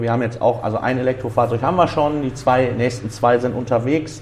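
This man has an ordinary speaking voice, pitched in the medium range, and his intonation stays fairly even. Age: 20s. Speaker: driving school owner. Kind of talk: interview. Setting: driving school exam room.

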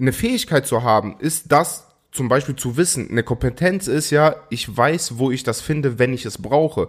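Pitch moves in an ordinary way here. There is a somewhat breathy quality to the voice. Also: man, medium pitch for a man, moderate pace, very clean recording, silent background. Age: 20s. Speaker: podcast co-host. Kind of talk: casual chat.

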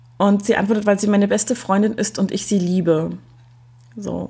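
Somewhat breathy, with a dark, mellow tone, the voice moves at a fairly quick pace with fairly even intonation. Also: woman. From East Germany. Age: 30s. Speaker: podcaster. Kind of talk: casual chat.

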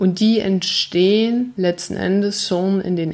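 A woman's fairly low voice at a very slow pace, fairly even intonation, noticeable background noise. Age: 40s. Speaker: life coach and podcast host. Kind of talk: solo podcast monologue, motivational. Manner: earnest, emphatic.

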